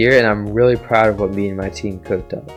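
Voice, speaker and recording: A man talks at a fairly quick pace, his pitch varying in an ordinary way, with music in the background. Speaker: game developer. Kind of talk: casual narration of a development timeline.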